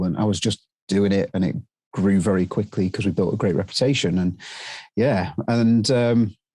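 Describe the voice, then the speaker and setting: With a British accent, a man speaks at a moderate pace, his fairly low-pitched voice showing ordinary pitch variation. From UK. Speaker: drone training business owner. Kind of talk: interview. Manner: halting, many fillers.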